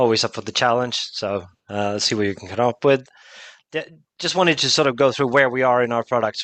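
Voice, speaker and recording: Dry and close with no echo, a man's medium-pitched voice moves at a fairly quick pace with ordinary pitch variation. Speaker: product expert presenting a software demo. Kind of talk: webinar product demo. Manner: fast.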